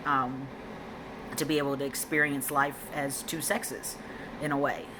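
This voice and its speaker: In a very deep, low pitch and a monotone, flat intonation, a woman speaks at a moderate pace, with audible room echo and noticeable background noise. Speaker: vlogger. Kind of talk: personal vlog update. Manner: female-sounding inflection; hesitant, many ums.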